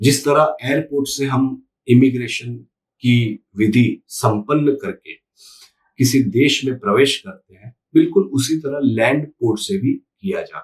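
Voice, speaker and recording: This man has a Gujarati accent and a fairly high pitch with ordinary pitch variation. His voice is somewhat breathy, with big swings in loudness. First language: Gujarati (speaking Hindi). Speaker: YouTube commentator. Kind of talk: opinion monologue to camera.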